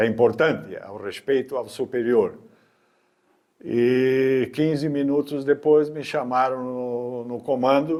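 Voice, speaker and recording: A man's very slow speech with fairly even intonation and big swings in loudness, on a very clean recording with a silent background. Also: medium pitch for a man. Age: 80s+. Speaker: army veteran. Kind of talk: interview, personal recollections.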